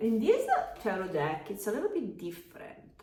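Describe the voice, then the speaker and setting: In an Italian accent, a woman speaks at a fairly high pitch. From Italy. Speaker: tarot reader and yoga teacher. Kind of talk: tarot reading. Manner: halting, many fillers.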